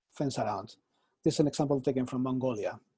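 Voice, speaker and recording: With a Spanish accent, a man speaks in a somewhat breathy, dark, mellow tone at a fairly high pitch. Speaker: architecture professor. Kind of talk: lecture.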